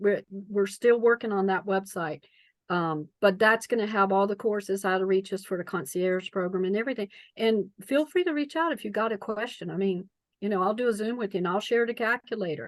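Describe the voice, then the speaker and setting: A woman with a North Carolina accent at a fairly quick pace, medium pitch and ordinary pitch variation, over a quiet background with a dry, close sound with no echo. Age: 60s. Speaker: preparedness coach. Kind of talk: interview.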